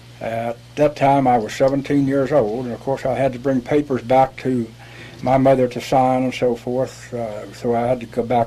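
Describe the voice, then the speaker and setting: A man with an American accent speaks at medium pitch and a moderate pace. His intonation is monotone and flat, with noticeable background noise. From West Virginia, rural Appalachia. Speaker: war veteran. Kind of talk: interview. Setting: studio.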